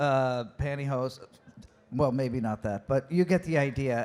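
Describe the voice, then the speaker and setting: A man with a plain, everyday voice speaks at a fairly high pitch and a fairly slow pace. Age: 60s. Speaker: panel moderator. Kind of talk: panel discussion.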